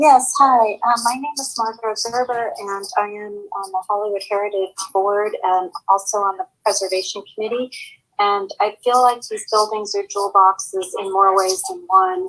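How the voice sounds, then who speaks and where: Featuring an unremarkable speaking voice, a woman speaks at a fairly high pitch and moderate pace, with ordinary pitch variation and big swings in loudness. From Los Angeles, San Fernando Valley. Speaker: heritage board member, public commenter. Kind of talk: public comment at commission hearing.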